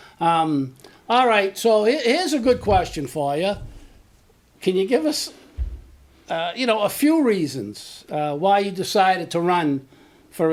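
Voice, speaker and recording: Using a Boston accent, a high-pitched man speaks with very wide pitch swings and long, frequent pauses. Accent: Boston-area. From Medford, Massachusetts. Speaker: local show host. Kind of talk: interview.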